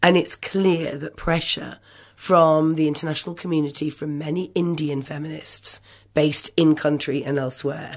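A woman's very deep, low voice with an English accent, fairly slow in pace and fairly even in intonation, against a quiet background. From England. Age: 50s. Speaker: feminist writer. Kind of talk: radio interview.

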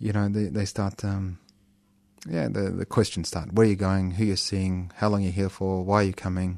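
Over a quiet background, a man with an Australian accent speaks at a fairly quick pace in a very deep, low pitch with monotone, flat intonation. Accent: thick Australian. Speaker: community radio co-host. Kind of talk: casual chat. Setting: studio.

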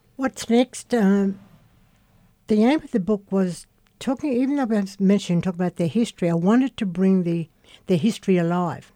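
The woman's tone is dark and mellow. The sound is dry and close, with no echo. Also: medium pitch for a woman, lively intonation, moderate pace. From Queensland, Australia (Cherbourg settlement). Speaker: community elder and author. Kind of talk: radio interview. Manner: halting, repeats words.

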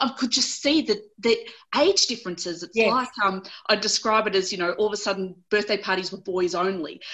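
A woman's medium-pitched voice with an Australian accent, ordinary pitch variation and a fairly quick pace. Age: 40s. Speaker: lawyer and abuse survivor. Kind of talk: interview. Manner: animated.

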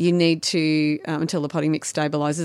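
A woman with an Australian accent speaks at a fairly quick pace in a very deep, low pitch with monotone, flat intonation. The recording is very clean with a silent background and a dry, close sound with no echo. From Victoria, Australia. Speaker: garden designer. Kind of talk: radio interview. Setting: studio. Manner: fast talker.

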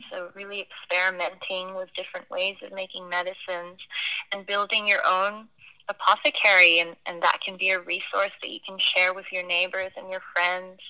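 A woman at a medium pitch, monotone and flat, moderate in pace, with big swings in loudness over noticeable background noise. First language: not English. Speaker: herbalist and community organizer. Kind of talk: interview. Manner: hesitant, many fillers.

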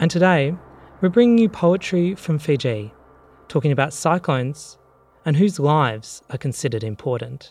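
A man with a fairly high pitch speaks at a moderate pace. His voice is somewhat breathy, with lively intonation. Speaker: radio host. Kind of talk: radio show presentation.

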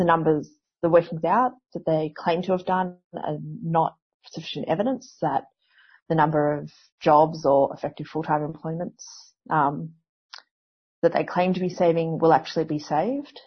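A woman's fairly low, somewhat breathy voice with an Australian accent, ordinary pitch variation, a moderate pace and long, frequent pauses. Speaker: historian and university academic. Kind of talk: interview. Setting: phone or video call.

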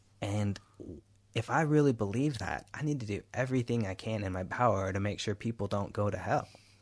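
Against a quiet background, a man with an American accent speaks in a normal speaking voice. His pitch is fairly low with ordinary variation, and his pace fairly quick. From US, Houston, Texas. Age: 20s. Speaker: activist. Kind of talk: interview. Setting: radio studio.

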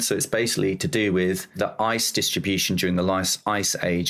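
At a moderate pace, a man speaks with a southern English accent. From southern England, near London. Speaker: oceanographer. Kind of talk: interview.

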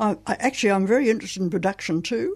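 Ordinary pitch variation and an Australian accent over a quiet background. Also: woman. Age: 80s+. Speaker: playwright. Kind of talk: author interview. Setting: radio studio. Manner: halting.

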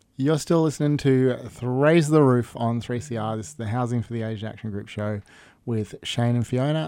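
A man with an Australian accent speaks at a medium pitch in a dark, mellow tone. The recording is very clean, with a silent background. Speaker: community radio co-host. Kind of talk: community radio chat. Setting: radio studio. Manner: jokey, casual.

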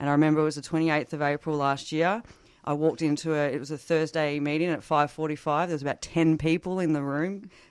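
Against a quiet background, a woman with an Australian accent speaks at a very fast pace with a very deep, low pitch and fairly even intonation. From rural northeast Victoria, Australia. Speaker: recovering alcoholic sharing recovery story. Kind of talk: interview testimony.

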